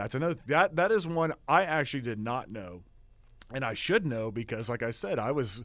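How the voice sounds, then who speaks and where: Recorded very cleanly against a silent background, a man speaks with an Oklahoma accent. His pitch swings very widely. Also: medium pitch for a man, moderate pace. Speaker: student radio host. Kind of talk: casual radio show monologue. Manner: hesitant, many fillers.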